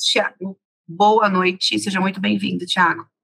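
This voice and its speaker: Against a quiet background, a woman speaks at a moderate pace in a bright, sharp tone. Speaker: webinar host. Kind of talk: host introduction. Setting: video call.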